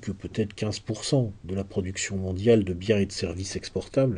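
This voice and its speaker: A man's somewhat breathy voice, dark and mellow in tone, over a quiet background. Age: 40s. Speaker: essayist and lecturer. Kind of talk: lecture. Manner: halting with frequent repetitions.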